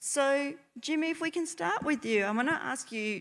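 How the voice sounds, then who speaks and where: Heard in a very clean recording with a silent background, a woman speaks in an Australian accent. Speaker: nurse and panel moderator. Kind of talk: panel moderation. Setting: stage with audience.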